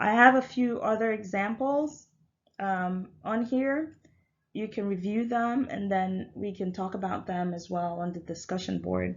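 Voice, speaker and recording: Her voice sits at a medium pitch with ordinary pitch variation. The woman's speech has audible room echo. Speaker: university lecturer. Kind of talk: recorded lecture. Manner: hesitant, many fillers.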